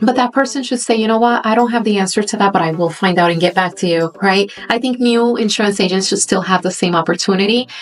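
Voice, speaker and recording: With music in the background, a woman speaks in a Spanish accent at a very fast pace with hardly any pauses. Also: medium pitch for a woman, ordinary pitch variation, very even loudness. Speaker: insurance agent. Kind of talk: interview.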